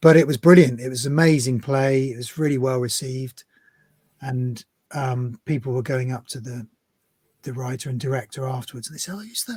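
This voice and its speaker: In a West Country accent, a man talks at a fairly quick pace and medium pitch, somewhat breathy. His intonation is fairly even, while his loudness swings widely. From Devon, England. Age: 50s. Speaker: actor. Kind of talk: interview answer.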